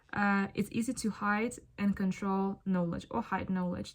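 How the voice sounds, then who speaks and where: A woman's moderately paced speech with fairly even intonation, in a Ukrainian accent. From Ukraine. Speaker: spiritual content creator. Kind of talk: casual monologue vlog. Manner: casual, thinking aloud with fillers.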